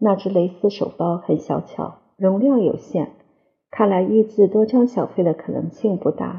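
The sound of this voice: Pitch varies in an ordinary way, with little noise behind. The voice reads aloud unforced.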